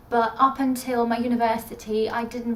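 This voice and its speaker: A woman speaks at a high pitch in a room with audible echo. Noticeable background noise is present too. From Russia. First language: Russian. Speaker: book vlogger. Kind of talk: casual vlog talk.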